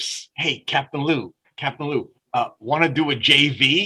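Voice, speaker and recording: A man talks in a New York accent at a fairly slow pace. His voice is fairly high in pitch, with a bright, sharp tone. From Brooklyn, New York. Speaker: business owner and marketer. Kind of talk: interview storytelling. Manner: animated.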